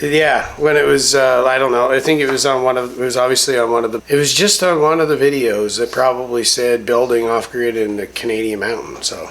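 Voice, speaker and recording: Over noticeable background noise, a man mumbles at a fairly quick pace with hardly any pauses, a medium pitch and fairly even intonation. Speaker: homesteader, army veteran. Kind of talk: casual chat. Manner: mumbling.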